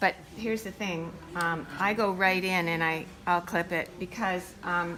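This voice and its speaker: The speaker is a woman with a normal speaking voice. Her pitch is medium and her intonation fairly even. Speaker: sewing instructor. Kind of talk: tutorial.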